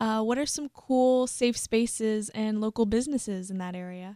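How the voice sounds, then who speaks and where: A woman's fairly high voice with an American accent, dark and mellow in tone, at a moderate pace, on a very clean, dry and close recording with a silent background and no echo. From US South. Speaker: podcast host. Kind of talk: interview.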